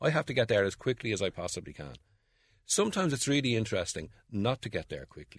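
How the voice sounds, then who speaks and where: In a Dublin accent, a man with vocal fry talks very fast at a medium pitch, with very wide pitch swings and big swings in loudness. The recording is very clean, with a silent background and a dry, close sound with no echo. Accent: Dublin Irish. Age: 60s. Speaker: playwright and writer. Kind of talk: interview about favourite books.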